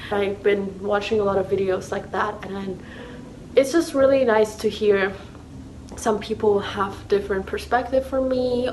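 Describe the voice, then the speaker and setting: With a Thai accent, a woman at medium pitch speaks at a fairly slow pace with ordinary pitch variation, amid noticeable background noise. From Thailand. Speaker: YouTuber, university student. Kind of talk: casual chat. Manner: casual, filler-heavy.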